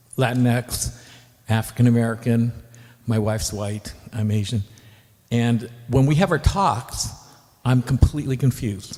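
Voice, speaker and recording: A man's somewhat breathy, dark, mellow voice at medium pitch with ordinary pitch variation, a fairly slow pace and long, frequent pauses. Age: 60s. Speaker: audience member asking a question. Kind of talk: Q&A question. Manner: halting.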